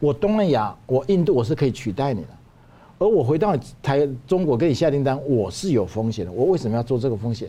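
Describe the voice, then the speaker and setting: A man's dark, mellow voice with vocal fry, fairly quick, with very wide pitch swings. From Taiwan. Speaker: Taiwanese businessman. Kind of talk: analytical discussion. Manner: emphatic, repeats words.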